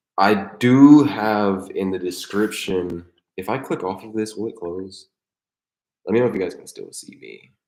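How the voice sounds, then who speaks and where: In a plain, everyday voice with ordinary pitch variation, the speaker goes at a moderate pace with big swings in loudness. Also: man, fairly low pitch for a man. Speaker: skateboarding vlogger and streamer. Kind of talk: live stream chat. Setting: live stream at home desk. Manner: casual, rambling with fillers.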